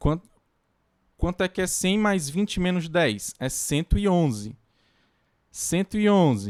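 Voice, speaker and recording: A man speaks at a fairly slow pace in a high voice, with very wide pitch swings and long, frequent pauses. The recording is very clean, with a silent background. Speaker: university lecturer. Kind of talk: lecture. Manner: halting.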